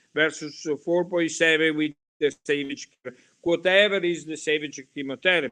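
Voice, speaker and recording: A man talks at a moderate pace in a bright, sharp tone with fairly even intonation. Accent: Italian. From Italy. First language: Italian. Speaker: hematology professor. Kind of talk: lecture. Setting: webinar. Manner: halting.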